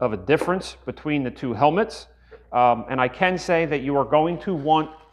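Ordinary pitch variation in a man's speech. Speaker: product reviewer. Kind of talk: product review tutorial. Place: workshop.

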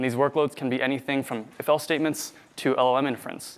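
The pace is very fast. A man does the talking. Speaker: conference presenter. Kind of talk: technical talk. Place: hall.

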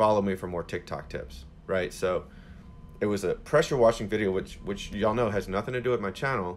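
A man speaks at a fairly quick pace in a fairly low pitch with ordinary pitch variation, in a plain, everyday voice. Light background noise can be heard. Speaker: social media coach. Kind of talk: live Q&A answer. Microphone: phone near.

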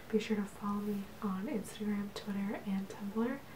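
Soft-spoken whispering at a moderate pace amid noticeable background noise. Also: woman. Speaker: vlogger. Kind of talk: casual ASMR show-and-tell. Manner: soft ASMR whisper, outro to viewers. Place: home room.

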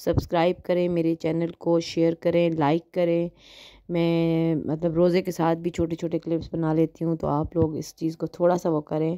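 Fairly low and dark, mellow in tone, a woman's voice moves at a fairly slow pace with monotone, flat intonation, in a very clean recording with a silent background and a dry, close sound with no echo. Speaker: vlogger. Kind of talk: vlog narration.

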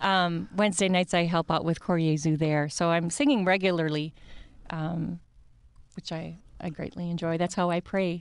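With a Midwestern American accent, the speaker keeps a fairly even intonation at a moderate pace, and the sound is dry with no echo. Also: woman, fairly low pitch for a woman. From US Midwest. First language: Italian. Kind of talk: radio interview. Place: studio. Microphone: studio mic.

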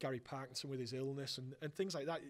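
With a Teesside accent, a man speaks at a fairly high pitch and with fairly even intonation. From northern England. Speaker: football fan presenter; presenter. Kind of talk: casual chat. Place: hall. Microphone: handheld.

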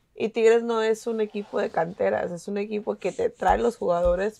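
Hardly any pauses break up the moderate pace of this speech. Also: woman. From Mexico, Monterrey; Nuevo León, Mexico. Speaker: podcast panelist, football fan; podcast panelist. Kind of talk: casual chat.

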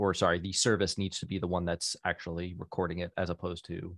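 A man with a very deep, low pitch speaks in a monotone, flat way, the sound dry with no echo against a quiet background. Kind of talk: meeting discussion. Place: home room. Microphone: studio mic.

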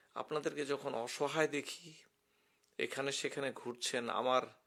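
The man's voice sits at a fairly high pitch with a bright, sharp tone. His intonation stays fairly even. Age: 50s. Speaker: retired physician. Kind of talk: emotional personal monologue to camera.

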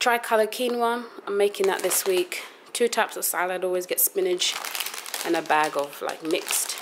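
Speaking in a London accent at a moderate pace, a woman with a medium pitch shows ordinary pitch variation over noticeable background noise. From London, England. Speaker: vlogger. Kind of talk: casual vlog talk to camera. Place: home room. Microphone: phone near.

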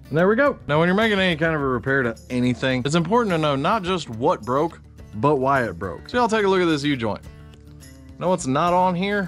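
Over faint music in the background, the speech runs at a very fast pace. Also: man. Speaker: sawmill owner vlogger. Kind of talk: tutorial. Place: workshop. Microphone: phone near.

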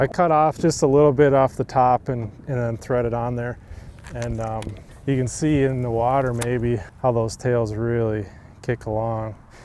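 At a moderate pace, a man speaks at medium pitch with little pitch movement. His tone is slightly mellow.

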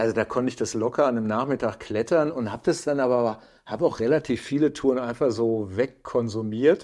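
Against a quiet background, a man with a dark, mellow tone talks at a fairly quick pace, his medium pitch showing ordinary variation. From Lower Rhine, Germany; Germany. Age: 50s. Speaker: climbing photographer and filmmaker; podcast guest. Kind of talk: casual interview. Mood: relaxed, anecdotal. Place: home room. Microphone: lapel.

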